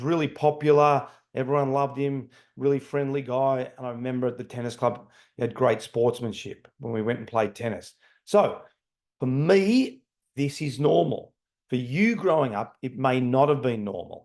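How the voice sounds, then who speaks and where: With an unremarkable speaking voice, a man talks at a moderate pace and medium pitch with ordinary pitch variation. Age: 60s. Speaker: leadership trainer. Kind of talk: lecture.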